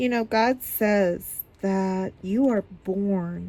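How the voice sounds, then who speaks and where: A woman speaks at a very slow pace. Her tone is dark and mellow. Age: 60s. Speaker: YouTuber, diamond painting and Bible study. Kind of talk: casual vlog chat. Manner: hesitant with frequent fillers.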